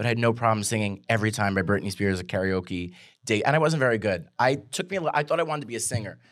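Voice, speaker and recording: Speaking very fast with a New York accent, a man keeps his pitch medium and his intonation lively. The recording is very clean, with a silent background. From Staten Island, New York. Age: 30s. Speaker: comedian. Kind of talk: casual chat.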